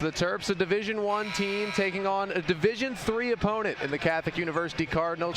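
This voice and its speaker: Noticeable background noise surrounds this man's voice. He speaks at a high pitch and a fairly quick pace. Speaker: student sports broadcaster. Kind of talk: basketball play-by-play. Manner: fast, energetic.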